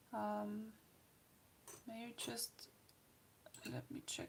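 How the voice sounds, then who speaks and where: A soft-spoken woman is talking. Her pace is very slow. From Austria. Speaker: art livestreamer. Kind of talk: casual livestream chat with demonstration. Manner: soft-spoken, quiet.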